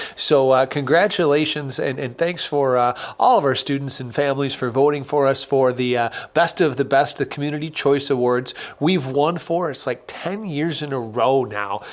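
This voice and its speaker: A man speaks with ordinary pitch variation and a moderate pace. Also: fairly high pitch for a man. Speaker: podcast host. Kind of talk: casual chat. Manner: hesitant, many fillers; subdued.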